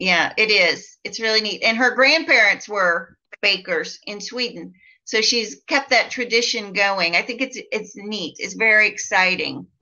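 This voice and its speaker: A woman with a Midwestern US accent speaks at a fairly slow pace. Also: fairly high pitch for a woman, ordinary pitch variation. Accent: US Midwest. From Iowa, US Midwest. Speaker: life and business coach. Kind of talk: casual chat. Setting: live video chat.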